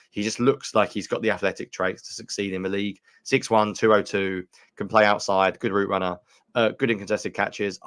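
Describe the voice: A man puts on a raspy character voice in a British accent, fairly low in pitch. He talks at a fairly quick pace in a monotone, flat intonation, recorded very cleanly with a silent background.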